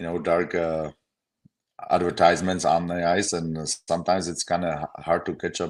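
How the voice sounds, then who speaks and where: Speaking at a fairly quick pace, a man with a very deep, low pitch has a Czech accent. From Czech Republic. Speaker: former pro hockey player. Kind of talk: casual chat.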